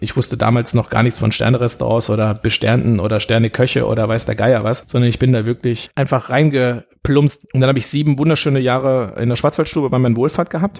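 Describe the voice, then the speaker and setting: Using a medium pitch with ordinary variation, a man talks at a very fast pace. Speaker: restaurant manager and gastronomy figure. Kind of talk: podcast interview.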